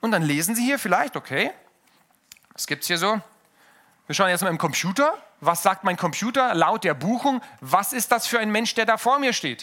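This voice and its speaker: Raised, projected speech from a man, high in pitch, bright and sharp in tone, animated, with lively intonation, a moderate pace and long, frequent pauses. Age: 30s. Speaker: pastor. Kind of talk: sermon.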